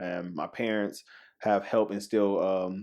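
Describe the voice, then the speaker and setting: Against a quiet background, a man with a South Carolina accent speaks with a fairly low voice and fairly even intonation. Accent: Southern US (South Carolina). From South Carolina, Spartanburg. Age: 20s. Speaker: church member. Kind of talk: casual interview. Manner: halting, many fillers.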